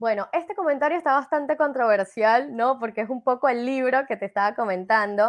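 Speaking with a Venezuelan accent, a woman goes at a fairly quick pace with hardly any pauses, her high pitch showing ordinary variation against a quiet background. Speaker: life coach and speaker. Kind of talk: interview on a live show.

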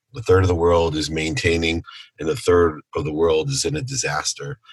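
An American accent, lively intonation and a somewhat breathy, very deep, low pitch mark this man's voice. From Ohio, US Midwest. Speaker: entrepreneur and speaker. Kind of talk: interview.

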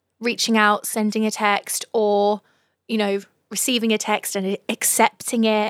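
An unremarkable speaking voice from a woman, fairly high in pitch and fairly slow, in a very clean recording with a silent background and a dry, close sound with no echo. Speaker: podcast host. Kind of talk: casual chat. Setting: live Instagram stream.

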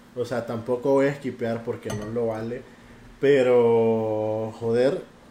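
Male voice with fairly even intonation and audible room echo. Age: 20s. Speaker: podcast guest. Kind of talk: casual chat.

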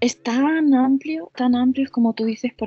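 Her pitch moves in an ordinary way. This woman's voice is somewhat breathy. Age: 40s. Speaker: psycho-body therapist and sex coach. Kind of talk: interview. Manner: halting.

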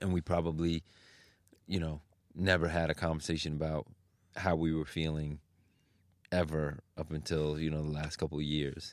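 Against a very clean recording with a silent background, a man with a New York accent speaks at a moderate pace in a very deep, low pitch, monotone and flat, with long, frequent pauses. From New York (Queens), Chinese family. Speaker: fashion designer. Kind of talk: casual chat.

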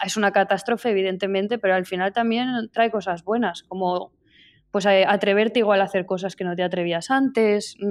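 A normal speaking voice from a woman, medium in pitch, with fairly even intonation. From Spain, Zaragoza. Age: 30s. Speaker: painter. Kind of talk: interview. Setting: remote call from her studio.

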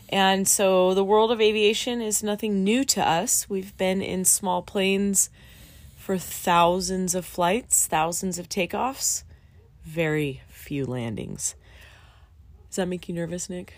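Speaking at a very slow pace, a woman uses a medium pitch and ordinary pitch variation with a Californian accent. The recording is very clean, with a silent background. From US, Southern California. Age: 40s. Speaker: podcast host, student pilot. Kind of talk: casual chat.

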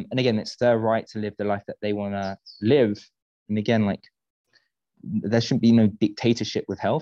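Speaking at a fairly quick pace with a British accent, a man has a dark, mellow tone, fairly low pitch and fairly even intonation, recorded dry and close with no echo against a quiet background. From UK. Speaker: nutritionist. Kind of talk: casual interview chat.

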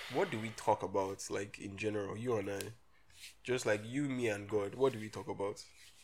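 In a very clean recording with a silent background, a man with a fairly low voice talks at a fairly quick pace in an animated tone. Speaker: podcast host. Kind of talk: casual banter. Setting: recording at home. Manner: joking, animated, bantering.

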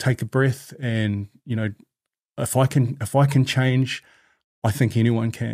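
In a very clean recording with a silent background, a man speaks in a medium pitch with a monotone, flat intonation. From New Zealand, Māori, grew up around Piha, West Coast Auckland. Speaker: former firefighter and youth mentor. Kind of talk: podcast interview.

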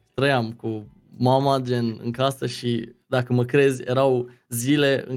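The man talks at a medium pitch in a monotone, flat intonation. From Romania, Hunedoara county (Deva). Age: 20s. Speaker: streamer. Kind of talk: casual interview chat. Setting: remote call.

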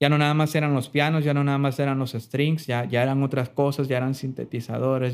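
A man talks with monotone, flat intonation. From Mexico, Sinaloa (Mazatlán). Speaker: pianist and music producer. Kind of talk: interview.

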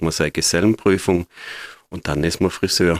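Very deep and low, a man's voice moves at a moderate pace with fairly even intonation. The sound is dry and close with no echo, on a very clean recording with a silent background. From Austria, Graz. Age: 50s. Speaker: hairdresser. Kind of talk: interview.

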